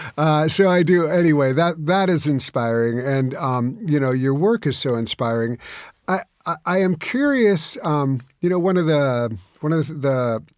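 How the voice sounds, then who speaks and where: Using lively intonation, a man with a fairly high voice speaks at a fairly slow pace. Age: 60s. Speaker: podcast host. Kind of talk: interview conversation. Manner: halting, many repeats.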